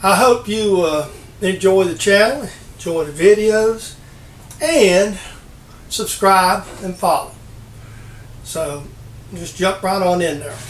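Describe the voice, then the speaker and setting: A man with a high voice speaks at a very slow pace, leaving long, frequent pauses, his loudness swinging widely over light background noise and audible room echo. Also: ordinary pitch variation. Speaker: hobby machinist channel host. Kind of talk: casual vlog chat. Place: workshop. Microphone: camera far.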